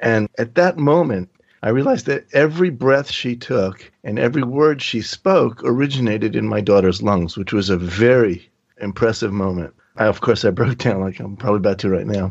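A man's unremarkable speaking voice at medium pitch, with lively intonation and a moderate pace. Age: 50s. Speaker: bereaved father of organ donor. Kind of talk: interview.

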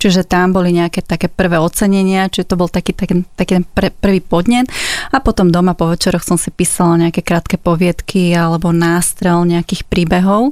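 A woman talks at a fairly quick clip, her intonation fairly even. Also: fairly low pitch for a woman. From Slovakia, Záhorie region. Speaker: copywriter and Slovak language popularizer. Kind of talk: interview.

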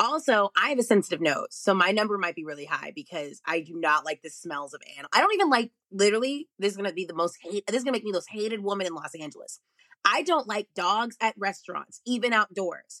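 Bright and sharp in tone, a woman at a medium pitch talks at a very fast pace with hardly any pauses, lively intonation and big swings in loudness, in a dry, close sound with no echo. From Texas, Arlington near Dallas. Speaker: stand-up comedian. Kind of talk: casual chat. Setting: video call from home office.

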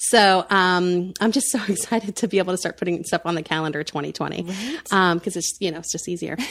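A woman with a plain, everyday voice and an American accent speaks at a fairly quick pace with hardly any pauses. Her pitch is medium with ordinary variation, on a very clean recording with a silent background. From Central Florida. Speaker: entrepreneur, family expo founder. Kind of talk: casual interview chat.

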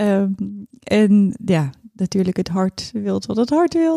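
A woman's medium-pitched voice has a dark, mellow tone, recorded very cleanly, dry and close with no echo against a silent background. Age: 30s. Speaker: fashion designer and stylist. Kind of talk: personal birth story interview.

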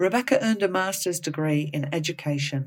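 On a very clean recording with a silent background, a woman with an Australian accent speaks at a moderate pace in a very deep, low voice. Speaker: podcast host, clinical psychologist. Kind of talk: casual interview; scripted intro.

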